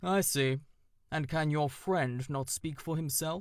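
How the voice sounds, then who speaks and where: A man uses a put-on character voice with a fairly high pitch and a resonant quality. He speaks at a fairly slow pace on a very clean recording with a silent background. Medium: read story. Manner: formal, grave.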